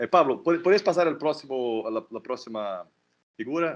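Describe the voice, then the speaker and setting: Against a quiet background, a man talks at a moderate pace in a fairly high pitch with very wide pitch swings. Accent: non-native. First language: Portuguese (speaking Spanish). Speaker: political scientist. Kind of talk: academic talk. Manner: halting, repetitions.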